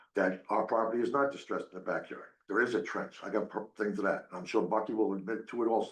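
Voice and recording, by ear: With audible room echo, a man talks at a fast pace in a fairly low pitch, his pitch variation ordinary.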